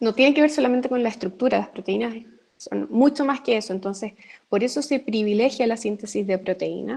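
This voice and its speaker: At a fairly quick pace, a woman uses an unremarkable speaking voice, fairly high in pitch with ordinary pitch variation. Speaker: university lecturer. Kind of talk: online lecture. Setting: live video session.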